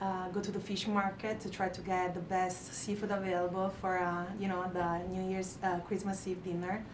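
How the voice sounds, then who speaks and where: A woman with a strong Italian accent, medium in pitch, at a moderate pace with monotone, flat intonation and hardly any pauses, amid noticeable background noise and audible room echo. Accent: thick Italian. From Italy. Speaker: restaurant manager. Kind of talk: interview on live show. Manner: hesitant, many fillers.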